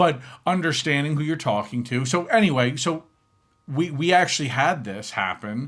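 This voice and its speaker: A man with a New York accent speaks in an animated tone at a moderate pace. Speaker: podcast co-host. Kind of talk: casual chat. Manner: loud.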